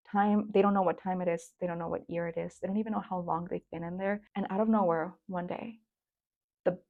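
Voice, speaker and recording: A woman with a Spanish accent talks at a fairly quick pace and medium pitch. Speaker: book reviewer. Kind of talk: casual book review vlog. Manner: animated.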